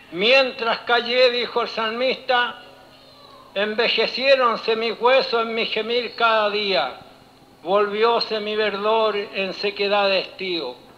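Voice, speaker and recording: A man's extremely high-pitched voice at a very slow pace. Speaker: preacher. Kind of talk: sermon. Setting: church. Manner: formal; animated.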